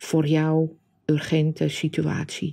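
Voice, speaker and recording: Calm and dark, mellow in tone, a woman speaks at a fairly low pitch and a very slow pace. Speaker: meditation guide and coach. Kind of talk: guided meditation. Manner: slow, calm, soft-spoken.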